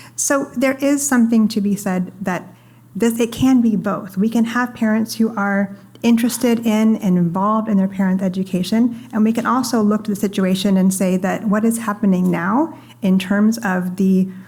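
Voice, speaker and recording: A soft-spoken woman with a fairly high pitch and ordinary pitch variation keeps her loudness very even over noticeable background noise. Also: moderate pace. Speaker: panelist from a free expression organization; parent. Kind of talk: panel discussion. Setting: stage with audience.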